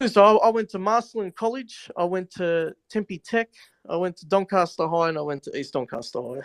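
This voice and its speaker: A man's high voice at a moderate pace, with a dry, close sound and no echo. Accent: Australian. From Australia, Melbourne. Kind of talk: casual chat. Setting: live audio chat room. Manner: halting.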